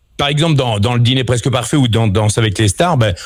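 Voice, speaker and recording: A man talks at a medium pitch with ordinary pitch variation. His voice is somewhat breathy and his pace fairly quick. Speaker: voice actor; former radio host. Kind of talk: radio interview answer. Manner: casual, hesitant.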